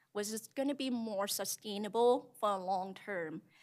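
Recorded very cleanly against a silent background, a woman speaks with a non-native accent. Her medium-pitched voice moves at a fairly slow pace with ordinary pitch variation. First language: not English. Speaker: restaurant owner, small business owner. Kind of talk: public testimony at meeting. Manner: halting, informal.

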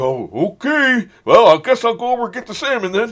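Here is a put-on character voice, fairly high in pitch and fairly quick. The recording is very clean, with a silent background.

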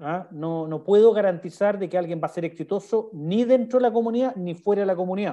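A man with a Chilean accent talks at a fairly quick pace, with hardly any pauses. His voice is high-pitched, dark and mellow, with ordinary pitch variation. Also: quiet background. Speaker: sales director giving a webinar talk. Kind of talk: online presentation / webinar with Q&A. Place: home room. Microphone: video call.

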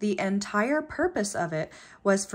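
Very wide pitch swings from a somewhat breathy woman. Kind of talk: casual vlog chat. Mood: cheerful, self-deprecating.

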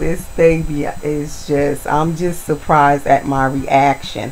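Speech comes at a very slow pace with fairly even intonation. Light background noise is present. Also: woman. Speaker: video blogger, reborn doll collector. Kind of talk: casual vlog tutorial. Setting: at home, talking to camera. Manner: slow, unhurried. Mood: warm, affectionate. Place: home room.

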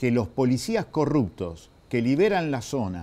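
In a dark, mellow tone, a man speaks at a fairly slow pace with very wide pitch swings. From Argentina. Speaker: provincial legislator; guest. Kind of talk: political interview. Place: studio. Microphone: lapel.

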